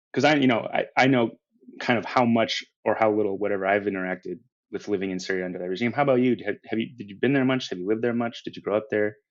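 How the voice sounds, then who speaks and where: With an American accent, a man rattles along at a very fast pace, his fairly low voice showing ordinary pitch variation. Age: 40s. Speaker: musician and novelist. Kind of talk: panel discussion. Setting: podcast recording.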